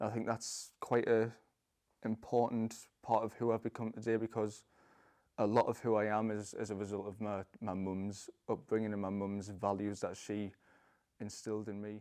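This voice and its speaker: In a Geordie accent, a man with a fairly low pitch and a dark, mellow tone speaks at a moderate pace in a flat monotone, on a very clean recording with a silent background. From northern England, Newcastle upon Tyne. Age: 20s. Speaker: parkour freerunner, convert to Islam. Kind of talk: testimony. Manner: halting, many fillers and repeats.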